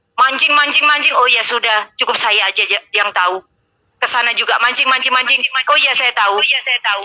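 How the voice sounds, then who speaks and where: A woman with a strong Surabaya accent speaks at a fairly quick pace and high pitch, with ordinary pitch variation and very even loudness. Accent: strong East Javanese (Surabaya). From East Java, Surabaya. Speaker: live-stream host. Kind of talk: heated debate. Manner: harsh, blunt tone.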